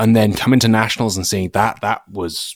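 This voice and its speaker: In a very clean recording with a silent background, a man with an English accent is heard in a dry, close sound with no echo. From England. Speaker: shooting YouTuber, former gunsmith. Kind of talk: casual chat.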